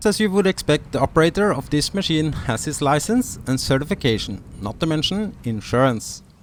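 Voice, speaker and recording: In a Norwegian accent, a man with a fairly high pitch speaks at a moderate pace, his pitch swinging very widely. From Norway. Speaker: sailing vlogger. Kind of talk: informational video narration.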